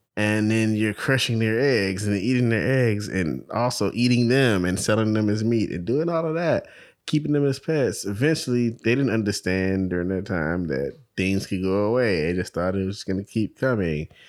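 With lively intonation and a fairly low pitch, a man with an unremarkable speaking voice talks at a moderate pace in a very clean recording with a silent background. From New York, the Bronx. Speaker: podcast co-host. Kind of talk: casual chat.

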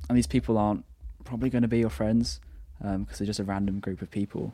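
A fairly quick, dark, mellow voice in a southern English accent, with ordinary pitch variation and long, frequent pauses. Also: man. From southern England, Brighton. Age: 20s. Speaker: university student, photographer. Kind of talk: casual chat.

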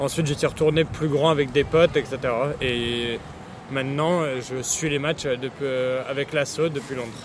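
Over noticeable background noise, a man talks at a fairly slow pace in a fairly high voice with fairly even intonation. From France, Paris region. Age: 20s. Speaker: football supporter. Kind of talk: casual interview. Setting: motorway service area.

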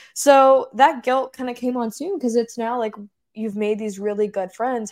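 The pace is fairly quick. The speaker is a woman. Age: 20s. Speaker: podcast co-host. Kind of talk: casual chat. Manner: animated.

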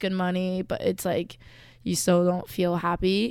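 A woman's medium-pitched voice with monotone, flat intonation, on a very clean recording with a silent background. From Michigan, Detroit suburbs. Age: 20s. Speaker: college student podcast host. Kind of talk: casual chat.

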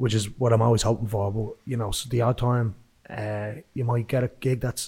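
A man with a Dublin accent talks at a moderate pace, his pitch medium and his intonation fairly even. His tone is dark and mellow, and somewhat breathy. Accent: Dublin Irish. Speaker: musician. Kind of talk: casual interview chat.

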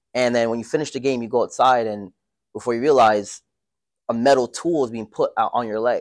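Very clean, the recording has a silent background. Fairly quick and fairly even in intonation, it is an unremarkable speaking voice. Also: man, medium pitch for a man. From Toronto, Canada. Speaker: entrepreneur and day trader. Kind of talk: casual interview.

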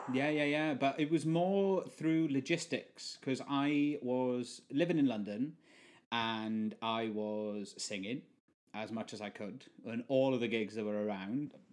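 Over a quiet background, a man of medium pitch speaks at a fairly slow pace with lively intonation in a South Welsh accent. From South Wales. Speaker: session musician and permaculture gardener. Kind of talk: casual chat.

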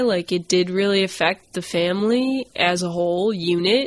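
In an American accent, a woman with a plain, everyday voice talks at a moderate pace and medium pitch. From US Northeast, Maine. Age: 20s. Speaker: podcast guest. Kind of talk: interview.

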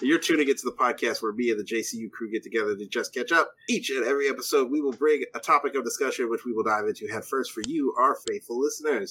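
A man amid noticeable background noise. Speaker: podcast host. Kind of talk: casual chat. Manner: joking.

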